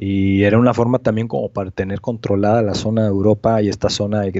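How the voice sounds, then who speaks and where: The intonation stays flat and monotone. The pace is fairly quick. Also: man. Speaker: amateur astronomy researcher. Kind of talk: casual interview.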